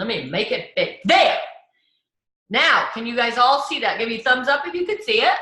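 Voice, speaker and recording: In a room with audible echo, a woman speaks in a raised, projected, high voice with a bright, sharp tone and very wide pitch swings. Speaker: direct sales team leader. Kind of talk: video call training. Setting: video call. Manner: fast.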